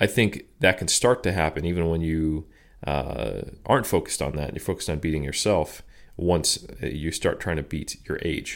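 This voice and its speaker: A man with an American accent, very deep and low in pitch, at a moderate pace with ordinary pitch variation. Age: 30s. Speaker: strength and conditioning researcher and coach. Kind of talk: interview conversation.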